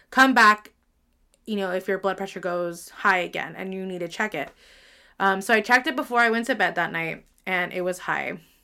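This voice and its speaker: A woman speaks fairly quickly at medium pitch with ordinary pitch variation and a bright, sharp tone. Her loudness swings widely in a very clean recording with a silent background. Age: 30s. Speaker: podcast host. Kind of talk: solo personal monologue. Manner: frequent fillers (um).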